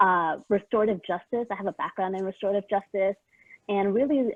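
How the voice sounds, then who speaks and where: A woman with a Spanish accent, medium in pitch, with fairly even intonation. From San Diego, California. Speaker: equity and inclusion consultant, panelist. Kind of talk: conference panel self-introduction.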